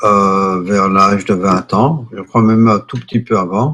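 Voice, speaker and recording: A man's fairly low voice with a bright, sharp tone and fairly even intonation. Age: 60s. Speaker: yoga teacher. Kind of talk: interview. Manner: hesitant with fillers.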